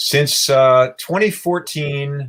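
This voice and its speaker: Somewhat breathy, a man talks with ordinary pitch variation. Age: 60s. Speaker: animal rights activist. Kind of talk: interview.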